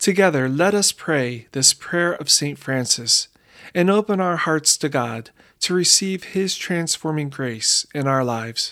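The speaker uses a solemn tone at a fairly slow pace on a very clean recording with a silent background. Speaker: prayer leader. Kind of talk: guided prayer. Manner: fervent; solemn, slow, reverent.

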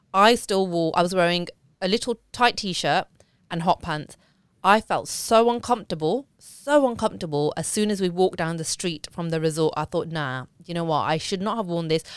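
Recorded very cleanly against a silent background, a woman speaks at a fairly quick pace in an ordinary speaking voice. Her pitch is fairly low, with ordinary pitch variation. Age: 40s. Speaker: podcast host. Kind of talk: casual chat. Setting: live stream recorded for podcast.

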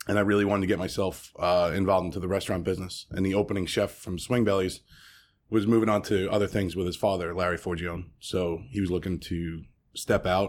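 Someone with a New York accent speaks very fast in a monotone, flat way. The recording is very clean, with a silent background. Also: man, very deep, low pitch for a man. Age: 30s. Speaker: restaurant owner. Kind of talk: interview. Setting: at his restaurant. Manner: halting.

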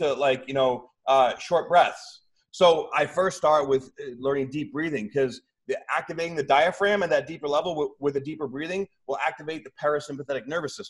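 Using an ordinary speaking voice, a man talks at a fairly quick pace and a fairly high pitch with ordinary pitch variation. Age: 40s. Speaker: bodybuilder and spiritual coach. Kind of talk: casual chat.

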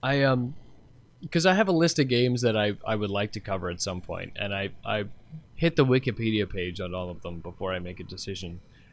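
A man with an unremarkable speaking voice talks at a fairly quick pace and fairly low pitch, with lively intonation. His loudness swings widely on a very clean recording with a silent background. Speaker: co-host. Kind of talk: casual chat.

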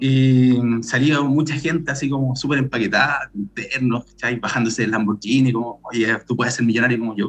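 Over music in the background, a man with a Chilean accent speaks at a fairly quick pace and medium pitch, with fairly even intonation and hardly any pauses. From Chile, Santiago. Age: 30s. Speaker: bitcoin promoter and event co-founder. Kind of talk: casual chat.

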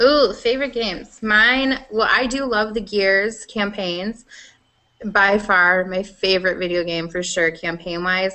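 A woman speaks with a Midwestern US accent. Her pace is fairly slow. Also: medium pitch for a woman, ordinary pitch variation. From Iowa, US Midwest. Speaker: gaming podcast host. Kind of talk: casual chat.

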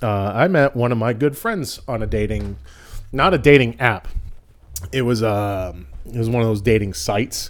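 With an American accent, a man talks in a normal speaking voice at medium pitch, his intonation lively. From Boston, Massachusetts. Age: 40s. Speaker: comedian. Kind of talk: casual chat.

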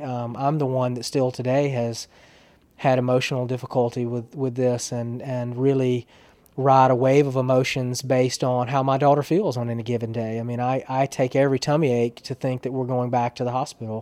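Flat, monotone intonation comes at a fairly quick pace in an Alabama accent. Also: man. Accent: Southern American (Alabama). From US South, small-town Alabama. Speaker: public relations professional. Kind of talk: interview, personal story. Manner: halting, many repetitions.

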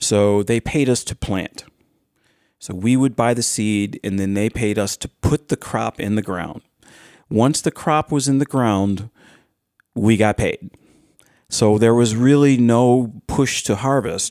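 A man speaks fairly slowly at a medium pitch, with ordinary pitch variation and long, frequent pauses. The recording is very clean, silent in the background, and dry and close with no echo. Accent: Western New York. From Orleans County, western New York. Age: 60s. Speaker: hemp farmer. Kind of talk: casual chat. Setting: studio. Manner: energetic.

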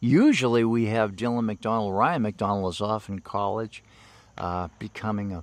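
In a very clean recording with a silent background, a man speaks with a normal speaking voice, fairly low in pitch, at a moderate pace with ordinary pitch variation. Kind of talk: live baseball play-by-play commentary. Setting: outdoors at a ballfield.

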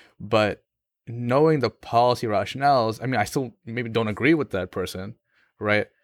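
In a very clean, dry, close recording with no echo and a silent background, a man with an American accent and a plain, everyday voice speaks at medium pitch and a moderate pace with ordinary pitch variation. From US, Pakistani family. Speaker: law student. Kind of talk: casual interview conversation.

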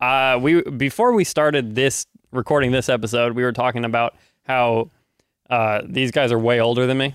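A man with an unremarkable speaking voice talks at medium pitch and a moderate pace, his intonation fairly even and his loudness very even. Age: 20s. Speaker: church tech staff and videographer. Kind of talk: casual chat.

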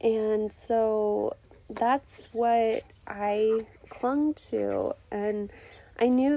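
Her voice is fairly high for a woman, with a dark, mellow tone. The intonation stays fairly even. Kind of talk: casual faith talk. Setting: outdoors. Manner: chatty with frequent fillers.

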